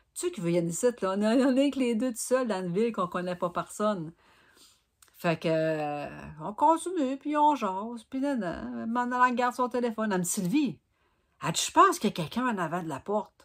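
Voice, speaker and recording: Speaking fairly quickly with a Gaspésie accent, a woman uses a fairly high voice with very wide pitch swings and big shifts in loudness, on a very clean recording with a silent background. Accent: Quebec French (Gaspésie). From Gaspésie, Quebec. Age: 50s. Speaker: knitting vlogger. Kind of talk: casual vlog storytelling.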